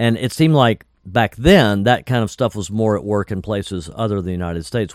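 A man with a normal speaking voice, fairly low in pitch, with ordinary pitch variation and an American accent, at a fairly quick pace, on a very clean recording with a silent background. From North Carolina. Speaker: musician and record producer. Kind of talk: interview storytelling.

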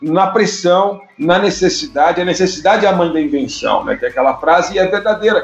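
A high-voiced man speaks rather quickly with lively intonation, clear background noise behind him. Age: 50s. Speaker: journalist and communications consultant. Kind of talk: interview.

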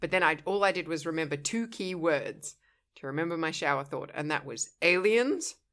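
A woman speaks at a moderate pace with ordinary pitch variation and a fairly low pitch, in a plain, everyday voice. The recording is very clean, with a silent background. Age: adult. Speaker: podcast co-host. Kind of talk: casual chat.

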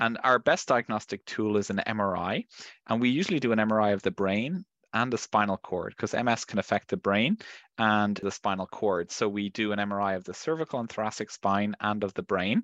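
In an Irish accent, a man talks at a fairly quick pace and fairly low pitch with ordinary pitch variation, the sound dry and close with no echo against a quiet background. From Ireland. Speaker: neurologist. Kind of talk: medical interview.

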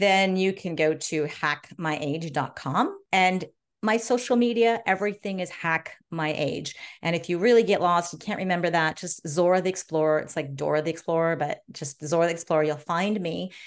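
A woman's fairly low voice with an American accent, moderate pace and ordinary pitch variation over a quiet background. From US, Los Angeles. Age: 50s. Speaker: gerontologist and biohacker. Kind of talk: interview.

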